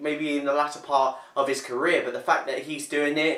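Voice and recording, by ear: Room echo is audible as a man speaks at a moderate pace. His pitch is fairly high and his tone fairly bright.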